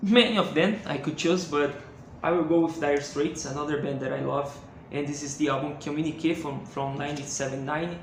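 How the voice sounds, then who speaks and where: With a Brazilian accent, a man talks at a fairly quick pace and with ordinary pitch variation amid noticeable background noise and audible room echo. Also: fairly high pitch for a man. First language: Portuguese. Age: 20s. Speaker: music collector YouTuber. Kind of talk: casual video monologue. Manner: halting, many fillers and repetitions.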